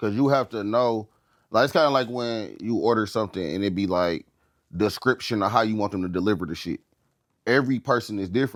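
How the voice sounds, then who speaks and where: Captured in a very clean recording with a silent background, a man talks at a very fast pace. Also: fairly low pitch for a man, ordinary pitch variation. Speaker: podcast co-host. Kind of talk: casual chat.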